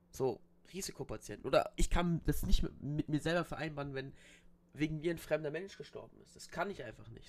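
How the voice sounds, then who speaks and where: Speaking at a fairly quick pace, a man with a normal speaking voice and fairly high pitch keeps his intonation fairly even. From Bavaria, Germany. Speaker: podcast host. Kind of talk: casual chat.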